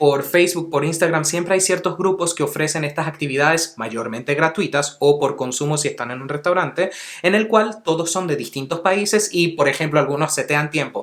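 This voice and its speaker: In a plain, everyday voice, a man speaks fairly quickly and fairly high, with ordinary pitch variation and hardly any pauses. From Venezuela, Caracas (childhood), teens and adulthood abroad. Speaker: English teacher, language YouTuber. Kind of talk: tutorial.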